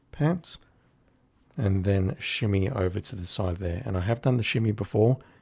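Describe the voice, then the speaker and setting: The voice has a dark, mellow tone, somewhat breathy, with lively intonation. It moves at a fairly slow pace over a quiet background. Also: man. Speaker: game streamer. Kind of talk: gameplay commentary.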